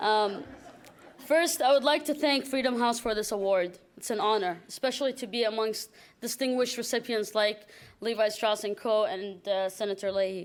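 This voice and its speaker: The recording is very clean, with a silent background. A woman talks in a fairly high pitch with ordinary variation. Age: 20s. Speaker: human rights activist. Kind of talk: acceptance speech. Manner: fast.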